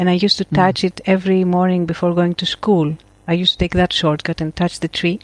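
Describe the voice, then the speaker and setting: Speaking very fast in a Greek accent, a woman with a fairly low voice keeps a monotone, flat intonation over a dry, close sound with no echo. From Crete, Greece. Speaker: photographer and educator. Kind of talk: casual interview chat.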